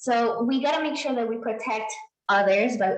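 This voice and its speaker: A fairly high-pitched woman at a moderate pace, with audible room echo. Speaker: pharmacist. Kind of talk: presentation.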